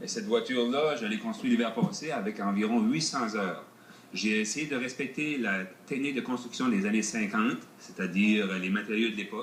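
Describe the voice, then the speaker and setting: A man with an Acadian accent talks at a fairly quick pace, medium pitch, ordinary variation. Audible room echo and noticeable background noise surround him. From northern New Brunswick (Acadia). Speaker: car builder. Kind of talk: TV interview. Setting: outdoors. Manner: hesitant.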